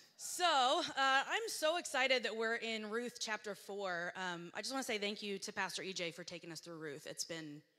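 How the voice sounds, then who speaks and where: A woman talks at a moderate pace in a fairly high pitch. Her tone is bright and sharp, with very wide pitch swings. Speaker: guest preacher. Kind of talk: sermon. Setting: church. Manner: casual, filler-heavy. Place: church. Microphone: handheld.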